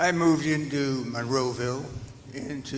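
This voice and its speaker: Audible room echo surrounds this man's voice. He speaks fairly high for a man, with ordinary pitch variation. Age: 90s. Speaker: retired senior resident, public commenter. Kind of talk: public comment at board meeting.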